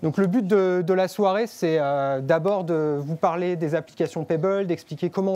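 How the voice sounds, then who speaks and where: With a high pitch, ordinary pitch variation and a dark, mellow tone, a man speaks. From France. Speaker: developer relations speaker. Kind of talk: tech meetup presentation. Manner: hesitant, many filler pauses.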